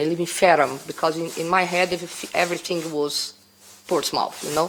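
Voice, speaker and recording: Noticeable background noise sits behind a woman whose pitch is fairly low. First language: Portuguese. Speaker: bar owner applying for a licence. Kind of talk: testimony at licensing hearing. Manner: halting.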